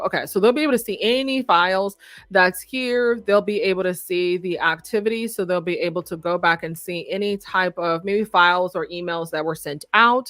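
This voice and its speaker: A woman speaks in a bright, sharp tone with ordinary pitch variation. The background is quiet and the sound dry, with no echo. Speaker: website designer and software consultant; software trainer. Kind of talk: live tutorial webinar. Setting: live stream. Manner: fast. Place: home room. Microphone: studio mic.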